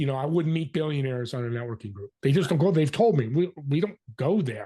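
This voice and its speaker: Very fast, fairly high-pitched male voice, dark and mellow in tone, somewhat breathy, with lively intonation. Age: 60s. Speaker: business networking consultant and podcast host. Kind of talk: interview. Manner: animated.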